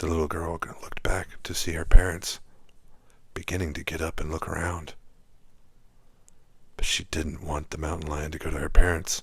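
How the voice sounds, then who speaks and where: A man's calm whisper at a moderate pace, broken by long, frequent pauses. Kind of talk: whispered sleep story narration. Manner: whispered, soft, calm.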